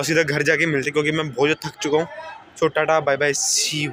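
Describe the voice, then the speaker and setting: Crowd noise fills the background. Over it, a man speaks at a fairly high pitch with fairly even intonation. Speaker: vlogger. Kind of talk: vlog. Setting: outdoors, gurdwara garden.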